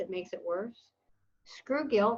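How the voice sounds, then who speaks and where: Somewhat breathy, a woman with an American accent speaks at a moderate pace in a fairly high pitch. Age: 60s. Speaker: weight loss success story guest. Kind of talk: podcast interview.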